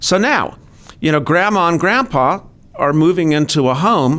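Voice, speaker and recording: With an unremarkable speaking voice, a man talks at a moderate pace, his fairly high pitch showing ordinary variation. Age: 50s. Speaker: financial adviser. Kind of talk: interview.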